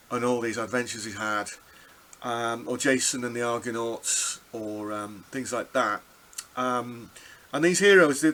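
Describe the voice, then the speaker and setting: Noticeable background noise is present. A man talks at a moderate pace and medium pitch. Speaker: music teacher. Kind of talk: lecture. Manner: halting.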